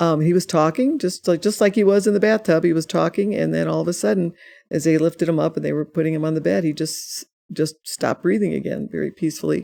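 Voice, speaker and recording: The delivery is very fast, with ordinary pitch variation and a dark, mellow tone carrying vocal fry. The recording is very clean, with a silent background. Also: woman, fairly low pitch for a woman. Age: 60s. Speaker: author and grief speaker. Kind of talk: podcast interview. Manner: halting, many repeated words.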